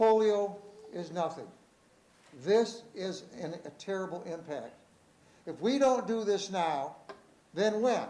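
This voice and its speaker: A man with a high voice and ordinary pitch variation speaks very slowly with long, frequent pauses, amid audible room echo and noticeable background noise. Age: 70s. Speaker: high school teacher. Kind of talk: public comment speech at board meeting. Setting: school board meeting. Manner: emphatic.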